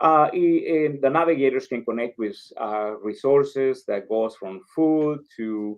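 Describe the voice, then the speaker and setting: Pitch varies in an ordinary way while the words come at a very slow pace. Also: man. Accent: Spanish. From El Salvador. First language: Spanish. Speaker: community organization leader. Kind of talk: interview. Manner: halting, many fillers.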